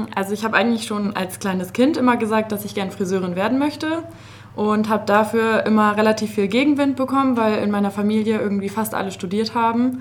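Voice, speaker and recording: Noticeable background noise behind a woman's very fast, fairly high-pitched speech with ordinary pitch variation. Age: 20s. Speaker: master hairdresser. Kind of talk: casual interview. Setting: studio.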